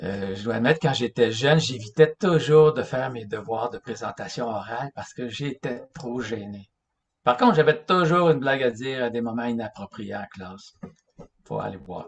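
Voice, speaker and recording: A somewhat breathy man at medium pitch talks at a moderate pace with ordinary pitch variation and big swings in loudness. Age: 60s. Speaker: religious lecturer. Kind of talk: lecture. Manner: halting.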